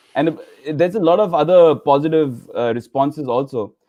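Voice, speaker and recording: A man speaks with a strong Indian accent. His pitch is fairly high and his pace moderate. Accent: Indian, thick. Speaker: laughter yoga leader. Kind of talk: interview. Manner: halting, many fillers.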